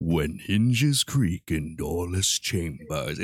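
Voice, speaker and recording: Speaking very slowly, a man uses a put-on character voice pitched very deep and low. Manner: spooky.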